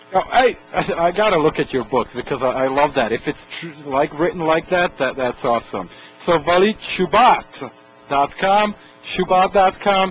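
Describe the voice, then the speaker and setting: Over music in the background, a man speaks at a high pitch and moderate pace with lively intonation. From Czechoslovakia. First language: Slovak or Czech. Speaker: radio talk show host. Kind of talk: radio interview. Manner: halting, many fillers.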